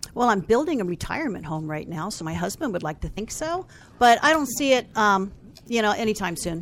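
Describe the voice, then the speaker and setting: The pace is fairly quick. Pitch moves in very wide swings. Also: woman, medium pitch for a woman. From Falls Church, Virginia. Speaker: marketing company founder. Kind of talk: interview.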